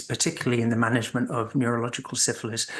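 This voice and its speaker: The tone is bright and sharp. Intonation stays monotone and flat. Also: man. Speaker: physician and syphilis expert. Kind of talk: lecture. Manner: halting, many fillers.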